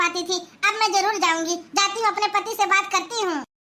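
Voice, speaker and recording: A woman puts on a cartoonish character voice pitched extremely high. She delivers it in a flat monotone at a fairly quick pace. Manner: plaintive, repetitive, questioning.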